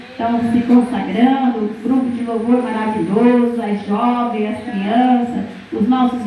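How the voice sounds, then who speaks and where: Over noticeable background noise and audible room echo, a woman speaks at a fairly slow pace with a fairly high pitch and a monotone, flat intonation. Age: 60s. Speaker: preacher. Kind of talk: sermon. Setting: church.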